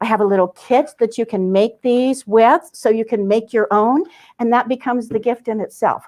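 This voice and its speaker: With an animated tone and a fairly high pitch, a woman speaks at a moderate pace against a quiet background. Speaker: quilting pattern designer and vendor. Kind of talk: craft presentation.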